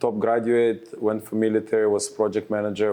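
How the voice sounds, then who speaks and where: The tone is dark and mellow, and the pace is very fast. The background is quiet. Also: man. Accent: Israeli. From Israel. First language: Hebrew. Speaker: real estate advisor. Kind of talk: casual interview.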